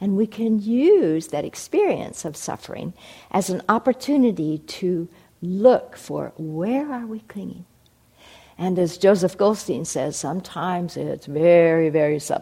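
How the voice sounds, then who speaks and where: Speaking at a fairly slow pace, a woman uses lively intonation and a dark, mellow tone, with big swings in loudness. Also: medium pitch for a woman. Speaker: meditation teacher. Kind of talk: guided meditation. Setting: meditation hall with audience. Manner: slow, calm, soothing, gently paced.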